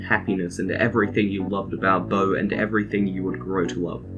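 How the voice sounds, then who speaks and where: Over music in the background, a man with a very deep, low pitch talks at a fairly quick pace. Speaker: video essayist. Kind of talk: scripted narration.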